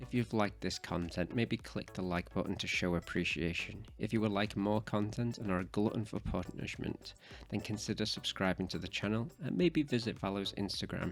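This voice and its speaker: A man's fairly low voice with vocal fry at a fairly quick pace, in a very clean recording with a silent background. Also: ordinary pitch variation, hardly any pauses. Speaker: travel vlogger narrating audio description. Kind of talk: scripted narration.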